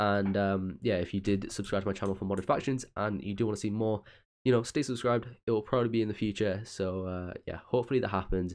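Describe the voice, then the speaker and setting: A man with a fairly low pitch at a very fast pace. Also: quiet background. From UK. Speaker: gaming YouTuber. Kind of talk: casual vlog-style talk to viewers.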